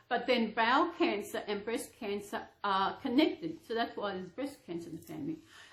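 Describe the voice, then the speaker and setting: A woman with an Australian accent talks at a moderate pace in a fairly high voice, her pitch swinging very widely. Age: 60s. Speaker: reborn doll vlogger. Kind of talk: casual chat. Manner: halting.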